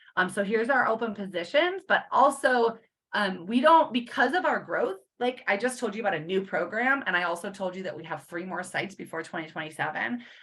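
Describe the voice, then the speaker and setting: A woman's medium-pitched voice at a fairly quick pace, with lively intonation. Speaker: clinical social worker presenting a program. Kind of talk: conference presentation. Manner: fast.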